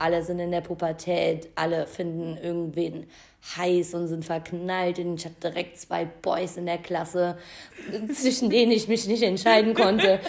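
This woman has a plain, everyday voice, fairly low in pitch with ordinary pitch variation, and she talks at a fairly slow pace. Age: 20s. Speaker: podcast co-host. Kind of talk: casual chat.

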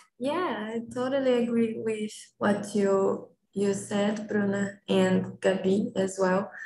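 Someone with a Portuguese accent talks at a very slow pace, keeping very even loudness. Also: woman, medium pitch for a woman, ordinary pitch variation. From Brazil. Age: 20s. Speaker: lab analyst. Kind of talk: casual conversation practice. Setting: video call.

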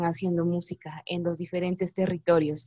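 A woman speaking at a moderate pace. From Guatemala, San Juan Comalapa. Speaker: singer-songwriter. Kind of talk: interview.

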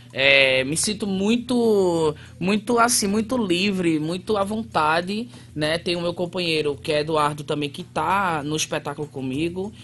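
With a northeastern Brazilian accent, a man speaks in a high-pitched voice. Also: lively intonation. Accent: northeastern Brazilian, noticeable. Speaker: theatre actor and artist. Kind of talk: radio interview.

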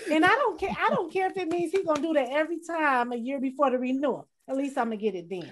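A woman speaks at a very fast pace with hardly any pauses. Her high pitch swings very widely. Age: 40s. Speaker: podcast host. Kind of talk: casual chat.

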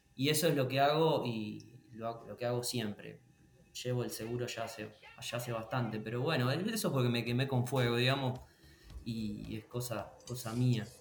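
A man at a medium pitch with fairly even intonation and a moderate pace, over noticeable background noise and audible room echo. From Argentina, northern Buenos Aires province. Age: 30s. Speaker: wedding photographer. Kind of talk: interview.

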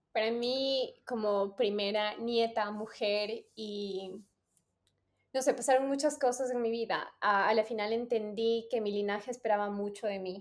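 A woman talks in a normal speaking voice. Her pitch is fairly high, with fairly even intonation. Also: fairly slow pace. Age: 30s. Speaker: podcast host. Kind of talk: casual chat.

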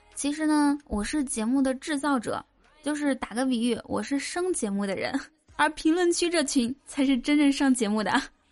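Her voice is high in pitch, and this woman speaks with ordinary pitch variation. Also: moderate pace. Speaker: podcast host. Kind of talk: comedic monologue telling jokes.

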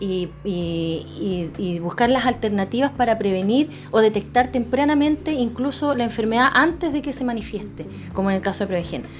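A woman's fairly high voice with lively intonation at a moderate pace, over noticeable background noise. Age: 40s. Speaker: podcast host, breast cancer survivor. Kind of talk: casual interview. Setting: office.

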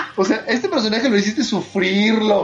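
Someone with a Mexican accent speaks at a moderate pace amid noticeable background noise. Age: 30s. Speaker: anime podcast host. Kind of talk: casual chat. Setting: live stream.

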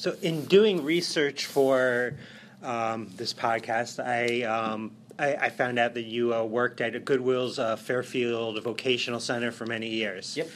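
At a fairly slow pace, he uses an unremarkable speaking voice. His pitch is medium, with ordinary variation. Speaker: podcast host. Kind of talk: interview conversation.

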